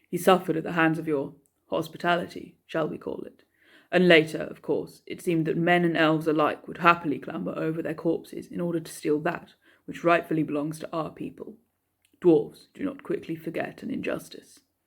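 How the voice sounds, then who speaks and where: A gruff put-on character voice at a middle pitch goes at a fairly quick pace in a very clean recording with a silent background. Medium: read story. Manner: blunt, gruff, sardonic.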